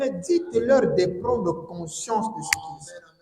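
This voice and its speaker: The voice swings very widely in pitch, and audible room echo surrounds it. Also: man. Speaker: preacher. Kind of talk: sermon.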